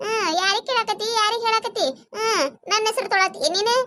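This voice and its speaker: In a cartoonish character voice, a woman speaks at a moderate pace with an extremely high pitch. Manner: sharp-tongued, sarcastic.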